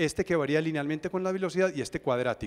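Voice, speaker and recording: Speaking at a very fast pace, a man talks with a fairly high pitch. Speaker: engineer speaker at a seminar. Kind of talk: technical presentation.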